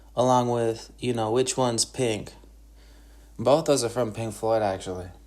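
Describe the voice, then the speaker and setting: Someone with an Upper Midwest US accent talks at a moderate pace. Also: man, medium pitch for a man, fairly even intonation. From Wisconsin, Northwoods. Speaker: podcaster and guitarist. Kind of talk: solo monologue podcast. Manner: halting, many fillers.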